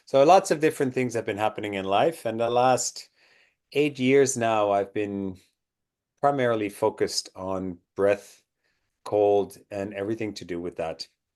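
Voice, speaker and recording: A man speaks at a moderate pace with a Dutch accent, his medium pitch showing ordinary variation against a quiet background. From Netherlands. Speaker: breathwork and cold exposure instructor. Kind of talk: interview.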